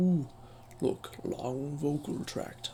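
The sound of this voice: Over clear background noise, the speaker uses a put-on character voice at a low-to-middle pitch.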